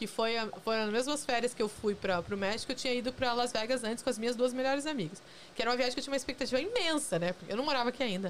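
There is noticeable background noise. A woman with a high pitch speaks at a very fast pace with ordinary pitch variation. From Curitiba, southern Brazil. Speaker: journalist. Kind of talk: casual chat. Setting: studio.

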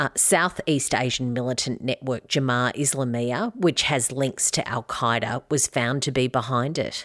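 On a very clean recording with a silent background and a dry, close sound with no echo, a woman speaks at a very deep, low pitch with ordinary pitch variation and hardly any pauses. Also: moderate pace. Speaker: news podcast co-host. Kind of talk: newsreading, a conversational news briefing read with steady, clear delivery. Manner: measured and even-paced, informative; fillers like 'uh' pepper the delivery.

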